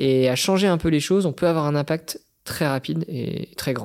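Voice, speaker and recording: Moderate pace and ordinary pitch movement from a man. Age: 30s. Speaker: social entrepreneur, former merchant navy officer. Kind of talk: personal storytelling interview. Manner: hesitant with frequent repetitions.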